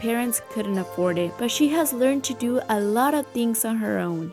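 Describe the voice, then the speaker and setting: Music plays behind a woman who talks at a moderate pace with a fairly high pitch. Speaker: interviewer and narrator. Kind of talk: documentary narration.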